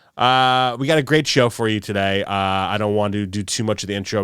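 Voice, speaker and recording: A man with an American accent and an ordinary speaking voice, ordinary pitch variation, on a very clean recording with a silent background. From New York. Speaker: podcast host. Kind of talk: casual podcast talk.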